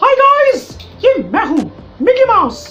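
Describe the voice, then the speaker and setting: A squeaky, put-on character voice is heard. Clear music plays in the background. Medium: voice reel. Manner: bright, upbeat.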